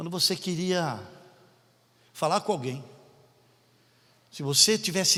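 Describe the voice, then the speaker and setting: A man's high voice, full of lively intonation, keeps a moderate pace. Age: 60s. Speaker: pastor. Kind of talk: sermon. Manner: animated.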